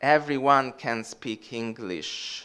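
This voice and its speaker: A man with an Italian accent and a bright, sharp tone. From Italy. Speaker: academic historian. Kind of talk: lecture Q&A.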